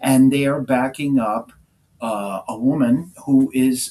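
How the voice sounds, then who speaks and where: Medium-pitched male voice in a New York accent. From New York City. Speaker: music manager. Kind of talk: interview.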